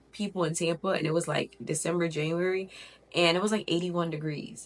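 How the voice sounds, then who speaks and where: Amid noticeable background noise, a woman with a medium pitch speaks in an animated tone at a fairly quick pace. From Connecticut, with early childhood in Miami. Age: 20s. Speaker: lifestyle vlogger. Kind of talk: casual vlog talk to camera. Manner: chatty, animated.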